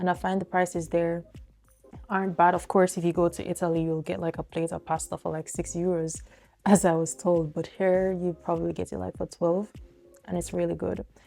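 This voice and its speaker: A woman speaks at a fairly quick pace with a Jamaican accent. Music plays in the background. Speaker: vlogger and sports journalist. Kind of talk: casual sit-down vlog talk. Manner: casual, with filler words.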